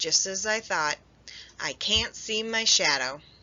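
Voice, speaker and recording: A woman puts on a raspy character voice at a medium pitch, with lively intonation. Her pace is fairly slow. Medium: read story.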